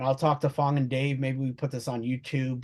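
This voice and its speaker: The voice has a dark, mellow tone and comes with a Brooklyn accent. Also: man. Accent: Brooklyn, New York. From Brooklyn, New York. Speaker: webinar presenter. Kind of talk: professional, business.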